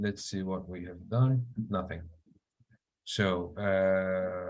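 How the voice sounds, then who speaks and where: Very slow speech with fairly even intonation amid audible room echo. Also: man, very deep, low pitch for a man. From Syria. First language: Arabic. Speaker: software engineer. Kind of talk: live coding tutorial. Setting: online meeting. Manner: hesitant, many fillers.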